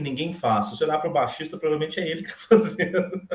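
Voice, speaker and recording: A man talks in a fairly high register, his pitch varying in an ordinary way. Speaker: bassist and bass teacher. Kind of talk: casual chat. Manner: halting.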